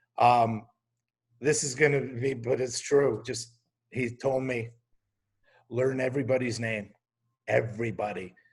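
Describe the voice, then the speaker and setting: A man speaks at a fairly slow pace with long, frequent pauses. His medium-pitched voice is somewhat breathy, with fairly even intonation. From Quebec, Canada. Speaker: TV comedy writer and showrunner. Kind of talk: casual interview talk.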